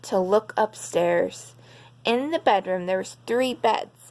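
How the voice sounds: Natural voice, reading aloud.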